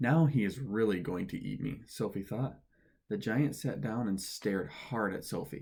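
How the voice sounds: The clip features reading aloud. It is a natural reading voice.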